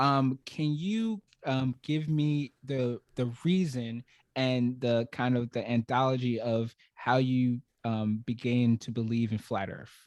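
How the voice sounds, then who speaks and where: Speaking very slowly with a New York accent, a man keeps a medium pitch and fairly even intonation in a dry, close sound with no echo. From Brooklyn, New York. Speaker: podcast host. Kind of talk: podcast interview. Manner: halting, many fillers.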